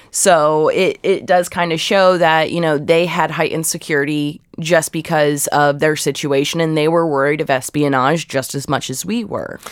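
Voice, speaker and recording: Speaking with an American accent at a moderate pace, a woman with a very deep, low pitch keeps her intonation fairly even and hardly pauses at all. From Ohio, US Midwest. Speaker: archive researcher. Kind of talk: interview.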